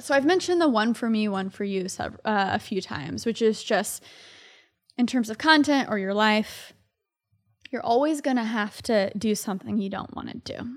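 Recorded very cleanly against a silent background, a woman with a normal speaking voice talks at a moderate pace with a fairly high pitch and ordinary pitch variation. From Texas, Dallas area. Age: 20s. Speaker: tech YouTuber. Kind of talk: casual chat. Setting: studio.

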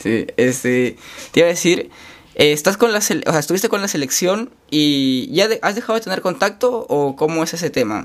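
A man talks at a moderate pace, his high voice swinging very widely in pitch. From Chiclayo, northern coast of Peru. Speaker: podcast host, university student. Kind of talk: casual interview.

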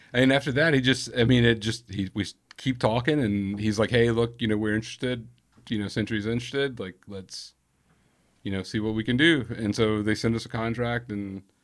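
A man with an American accent speaks at a fairly quick pace in a medium pitch. His intonation is fairly even, and the recording is very clean with a silent background. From Birmingham, Alabama. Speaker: metal band guitarist.

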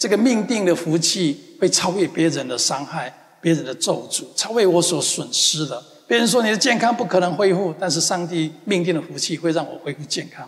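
Over noticeable background noise, a man talks at a moderate pace. His high-pitched voice is animated and gentle in tone. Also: ordinary pitch variation. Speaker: pastor. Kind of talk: sermon. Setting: church; church with congregation in the US. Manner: earnest, repetitive, affirming declarations.

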